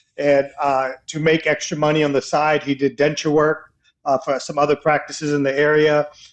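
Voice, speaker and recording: The speech comes at a moderate pace with monotone, flat intonation against a quiet background. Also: man, fairly high pitch for a man. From US, moved from India at age two. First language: Indian language. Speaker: dentist and dental educator. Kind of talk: podcast interview. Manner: casual, with frequent filler words.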